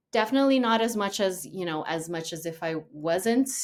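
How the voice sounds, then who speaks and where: A woman with a Portuguese accent, medium pitch and lively intonation, on a very clean recording with a silent background. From Brazil. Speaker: actress. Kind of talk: casual chat.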